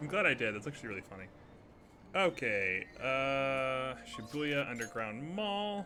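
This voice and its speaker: With music in the background, a man speaks fairly slowly, his pitch swinging very widely. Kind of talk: live gameplay commentary.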